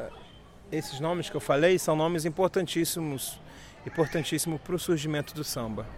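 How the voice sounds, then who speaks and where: A man with a fairly high pitch speaks at a fairly quick pace, with ordinary pitch variation and big swings in loudness. He has an unremarkable speaking voice. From Rio de Janeiro, Brazil. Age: 30s. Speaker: local tour guide. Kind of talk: guided walking tour. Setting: outdoors.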